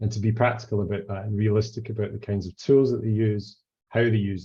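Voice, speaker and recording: Dark, mellow, somewhat breathy delivery in a Scottish accent, with monotone, flat intonation. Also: man. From Scotland, Highlands. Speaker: legal researcher. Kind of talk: academic talk. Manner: hesitant, frequent fillers.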